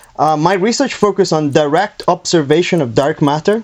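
This man has an ordinary speaking voice, fairly high in pitch. He moves at a fairly quick pace with ordinary pitch variation. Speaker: scientist, dark matter researcher. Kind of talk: casual explanation of science.

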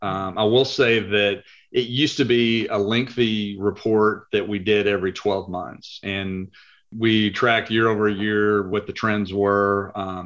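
Delivered at a fairly slow pace, the speech has a Texan accent and monotone, flat intonation. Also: man. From Texas (Lubbock). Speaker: private equity accounting executive. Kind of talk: interview.

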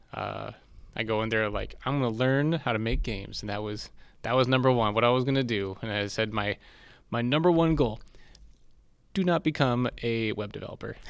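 A man with a Californian accent and medium pitch talks at a fairly quick pace with ordinary pitch variation and long, frequent pauses, on a very clean recording with a silent background. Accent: General Californian American. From US West Coast, San Diego. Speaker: DevOps engineer in games. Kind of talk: casual interview.

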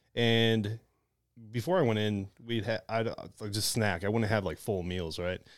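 Recorded very cleanly against a silent background, a man with an American accent uses a normal speaking voice at medium pitch and moderate pace, with ordinary pitch variation. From Detroit, Michigan. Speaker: Marine Corps veteran. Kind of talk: casual chat.

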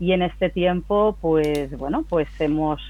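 A woman speaks at a very deep, low pitch. Her pitch variation is ordinary. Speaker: company CEO. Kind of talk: interview. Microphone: connection problems.

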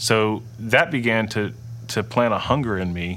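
Pitched in the medium range, this man's voice shows ordinary pitch variation. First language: Dutch. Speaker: churchgoer sharing faith testimony. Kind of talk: testimony. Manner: halting, many fillers and restarts.

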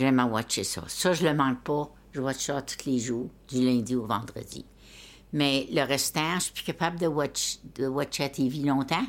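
A woman speaks at a fairly slow pace in a very deep, low pitch. The recording is very clean, with a silent background. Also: ordinary pitch variation. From Abitibi, Quebec. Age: 80s+. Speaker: family elder interviewee. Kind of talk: casual chat.

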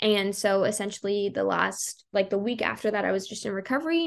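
At a moderate pace, a plain, everyday voice carries ordinary pitch variation over a quiet background. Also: woman. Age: 20s. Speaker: blogger. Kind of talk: interview.

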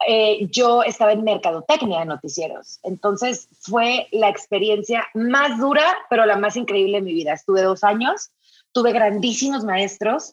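Her fairly high voice sounds animated as this woman speaks at a moderate pace with ordinary pitch variation. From northern Mexico, Sinaloa. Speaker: beauty magazine founder and editor. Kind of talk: interview.

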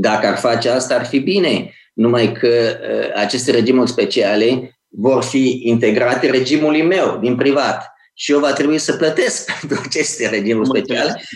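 Speaking with a Moldavian accent, a man keeps a moderate pace, medium pitch, ordinary pitch variation and very even loudness, with audible room echo. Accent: Moldavian (Iași) Romanian, still audible. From Romania, Iași (Moldavia). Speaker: think tank director and author. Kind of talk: interview.

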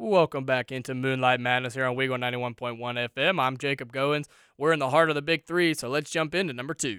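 Energetic and bright, sharp in tone, a man with a medium pitch and ordinary pitch variation talks at a fairly quick pace with hardly any pauses. The recording is very clean and dry, close with no echo, over a silent background. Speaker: college radio sports host. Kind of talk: live college radio sports show patter, upbeat and conversational with game predictions. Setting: radio studio, live broadcast. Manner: energetic, chatty, rattling off predictions and sign-offs like a sports DJ.

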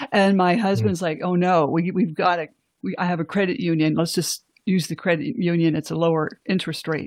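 A woman with an unremarkable speaking voice speaks at a fairly quick pace, her fairly low pitch showing ordinary variation. The recording is very clean with a silent background. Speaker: guest sharing family court experience. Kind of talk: interview, personal testimony.

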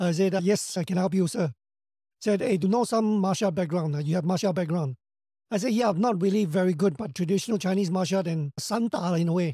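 A man with a Singaporean accent speaks at a very fast pace in a high pitch with a dark, mellow tone, ordinary pitch variation and very even loudness, on a very clean recording with a silent background. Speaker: actor and action director. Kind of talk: interview, casual chat.

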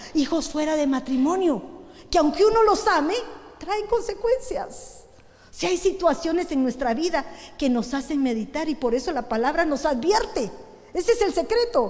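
Her pitch is extremely high and swings very widely as the woman talks at a moderate pace, with audible room echo. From Guatemala. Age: 60s. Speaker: pastor. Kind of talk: sermon. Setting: church.

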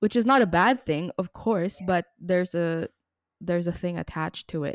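A woman talks at a moderate pace and a fairly low pitch, with ordinary pitch variation. Her loudness swings widely, and the sound is dry and close with no echo. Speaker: podcast host and producer. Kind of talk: casual conversational interview. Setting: radio studio.

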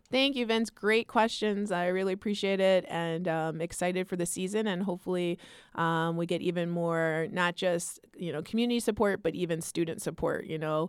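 Here is a woman with an ordinary speaking voice, fairly low in pitch, with ordinary pitch variation. She talks at a moderate pace with hardly any pauses, in a very clean recording with a silent background. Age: 40s. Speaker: college basketball head coach. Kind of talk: casual interview. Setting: studio.

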